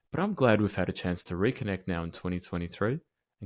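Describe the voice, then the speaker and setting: Very fast and with a very deep, low pitch, a man speaks in an Australian accent. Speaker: podcast host. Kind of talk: scripted intro; interview.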